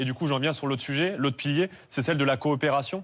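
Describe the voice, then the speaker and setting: A man's fairly high voice at a very fast pace. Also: very clean recording, silent background. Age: 20s. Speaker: politician, party list leader. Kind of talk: televised political debate.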